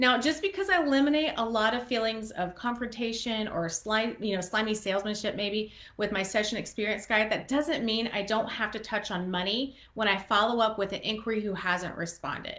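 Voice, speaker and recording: A woman speaks in a bright, sharp tone at a fairly high pitch, with ordinary pitch variation. The background is quiet. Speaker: photographer and educator; small business coach. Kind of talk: live-stream business tutorial. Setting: live stream. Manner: fast. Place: home room. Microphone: webcam.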